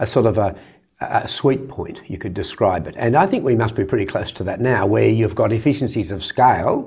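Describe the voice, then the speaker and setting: A somewhat breathy man at a fairly quick pace over a quiet background. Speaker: interview guest. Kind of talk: interview answer. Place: studio. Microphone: lapel.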